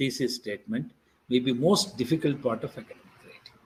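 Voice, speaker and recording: Speaking fairly quickly with lively intonation, the man sounds somewhat breathy. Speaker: invited lecturer on academic writing. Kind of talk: lecture. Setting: online faculty development programme.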